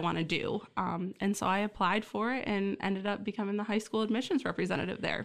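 Here a woman talks at a very fast pace with an American accent. Her pitch is medium and her intonation fairly even. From Michigan (Essexville, near Bay City). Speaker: college administrator. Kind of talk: interview.

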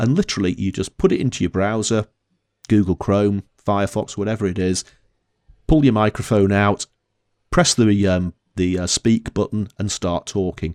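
On a very clean recording with a silent background and a dry, close sound with no echo, a man talks at a moderate pace and a fairly low pitch with long, frequent pauses. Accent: Northern English. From northern England. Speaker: podcast co-host. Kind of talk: casual chat.

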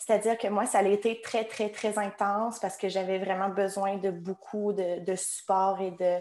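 A woman speaks at a fairly slow pace with hardly any pauses. Her intonation is monotone and flat. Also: medium pitch for a woman. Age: 20s. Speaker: online shop employee. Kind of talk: testimony.

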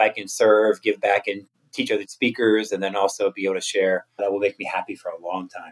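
A man speaks with an American accent at a fairly quick pace. Hardly any pauses break the dry, close sound with no echo. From US, Maryland (Cumberland). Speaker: motivational speaker. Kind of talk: interview. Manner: animated.

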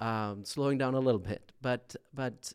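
With fairly even intonation, a man talks in a medium pitch. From southern Sweden. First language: Swedish. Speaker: pastor. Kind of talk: casual interview. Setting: studio booth.

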